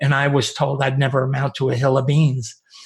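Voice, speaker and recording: A man with an American accent, a fairly high, somewhat breathy voice, and a moderate pace. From upstate New York. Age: 70s. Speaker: podcast host. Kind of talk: interview.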